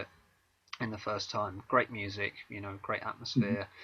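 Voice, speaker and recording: A man with a southern English accent, a bright, sharp tone and a fairly quick pace. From southern England, Maidstone, Kent. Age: 30s. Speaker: author and singer-songwriter. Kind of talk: interview. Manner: hesitant, many fillers.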